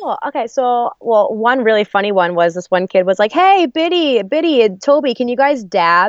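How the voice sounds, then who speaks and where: A woman with an American accent speaks at a moderate pace with hardly any pauses. Her fairly high pitch swings very widely. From New Jersey, US. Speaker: singer and actress. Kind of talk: casual chat.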